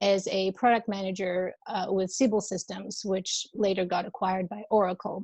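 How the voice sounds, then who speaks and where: Speaking at a moderate pace with an Albanian accent, a woman keeps a monotone, flat intonation. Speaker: wellness coach. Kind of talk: interview. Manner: warm, hesitant with many fillers.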